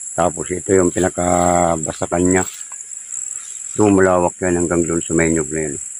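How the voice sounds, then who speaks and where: A man speaks with a very deep, low pitch and monotone, flat intonation. His loudness swings widely. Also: moderate pace. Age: 50s. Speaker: vlogger. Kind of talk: casual walking vlog narration. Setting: outdoors.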